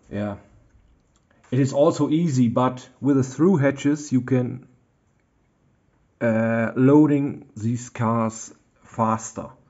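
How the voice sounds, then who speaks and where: With a German accent, a man speaks very slowly at medium pitch. His pitch varies in an ordinary way, and he leaves long, frequent pauses. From Germany. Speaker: model railroad hobbyist. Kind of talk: tutorial. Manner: halting, many fillers.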